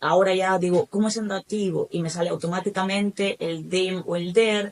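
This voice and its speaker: With monotone, flat intonation, a woman talks at a moderate pace and a medium pitch. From Spain. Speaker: German teacher. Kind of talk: podcast interview.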